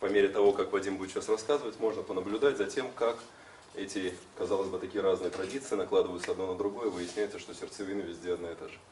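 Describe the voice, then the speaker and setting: The speech comes at a very fast pace with big swings in loudness, over light background noise and audible room echo. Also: man. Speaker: trainer and colleague; trainer. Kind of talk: panel discussion. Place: classroom. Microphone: camera far.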